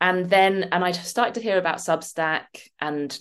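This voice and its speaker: Against a quiet background, a woman with a southern English accent talks at a fairly slow pace. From London. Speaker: writer and coach. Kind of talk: interview.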